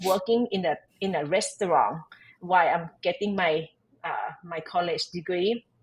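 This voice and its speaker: With a Thai accent, a woman talks at a moderate pace in a medium pitch, her voice somewhat breathy and her pitch varying in an ordinary way. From Thailand. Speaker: tax advisor and entrepreneur. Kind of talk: podcast interview. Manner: halting, with many fillers and restarts.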